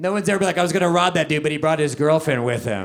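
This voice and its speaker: A man with an American accent speaks while noticeable noise fills the background. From Texas. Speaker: stand-up comedian. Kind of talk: live stand-up comedy set.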